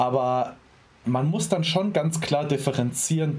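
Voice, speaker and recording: A man's fairly slow, somewhat breathy delivery with ordinary pitch variation. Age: 20s. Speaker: bodybuilding athlete and sports science student. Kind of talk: casual interview conversation.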